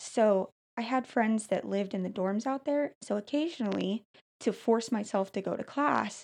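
A woman with vocal fry, fairly high in pitch, moderate in pace and ordinary in pitch variation, against a quiet background. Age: 20s. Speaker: customer service worker and host's daughter. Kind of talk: personal testimony in casual interview.

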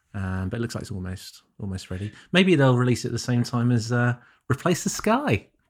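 In a British accent, a man with a medium-pitched voice talks at a fairly quick pace with lively intonation, on a very clean recording with a silent background. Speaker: photography podcast co-host. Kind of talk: casual chat.

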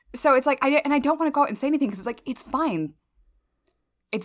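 A woman with a slight Southern US accent speaks at a very fast pace and a high pitch, with lively intonation. The recording is very clean, with a silent background. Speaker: podcast host. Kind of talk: casual chat. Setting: in person, sharing one mic.

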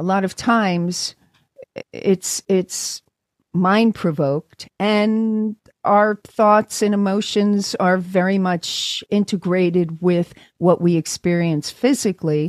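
Using an American accent, a woman at medium pitch talks at a very slow pace with fairly even intonation, in a dry, close sound with no echo. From New York, Brooklyn. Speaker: chiropractor and sound healer. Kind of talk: interview.

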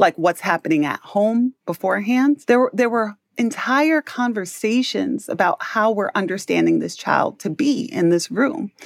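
A woman with an American accent and a plain, everyday voice, fairly high-pitched, with lively intonation and hardly any pauses, in a dry, close sound with no echo. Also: moderate pace. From New York City (Harlem). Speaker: education specialist. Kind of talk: interview.

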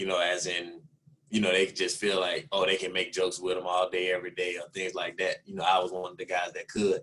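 Speaking fairly quickly, a man talks with a Southern US accent. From Alabama, US South. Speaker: NFL wide receiver. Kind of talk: interview.

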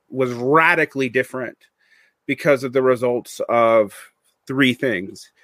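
Here a man with a Southern US accent speaks at a fairly slow pace and fairly high pitch. The sound is dry and close with no echo. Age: 40s. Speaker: podcaster and teacher. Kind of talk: casual interview. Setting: video call.

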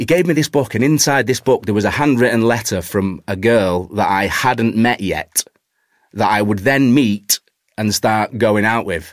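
On a dry, close recording with no echo, a man with a Cheshire accent speaks at a medium pitch and a moderate pace with ordinary pitch variation. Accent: northern English, Warrington. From Warrington, northern England. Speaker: actor. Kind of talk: casual chat.

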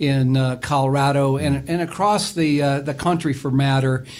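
A man speaks at a fairly slow pace with a fairly high pitch and ordinary pitch variation. Noticeable background noise sits behind him. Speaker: wealth advisor. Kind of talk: casual radio chat.

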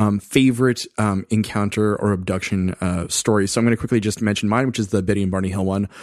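In a very clean recording with a silent background and a dry, close sound with no echo, a man talks at a fairly quick pace in an ordinary speaking voice with fairly low pitch and ordinary pitch variation. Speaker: podcaster. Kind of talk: casual chat.

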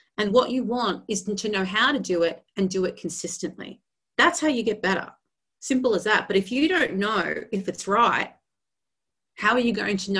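Animated in tone, a woman with an Australian accent speaks at a medium pitch and a moderate pace with ordinary pitch variation. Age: 40s. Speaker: vocal coach. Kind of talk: podcast interview.

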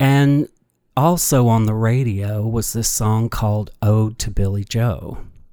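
Very slowly, a man speaks in a dark, mellow tone at medium pitch with ordinary pitch variation and a slight Kentucky accent. The recording is very clean, with a silent background. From Kentucky, small town (Sturgis). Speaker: storyteller and dancer. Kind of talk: storytelling interview.

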